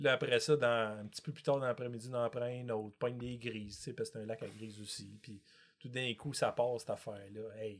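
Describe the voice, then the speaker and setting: A plain, everyday voice moves at a fairly quick pace with big swings in loudness. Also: man. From Quebec, Montreal. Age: 50s. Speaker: multi-species angler. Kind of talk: casual chat.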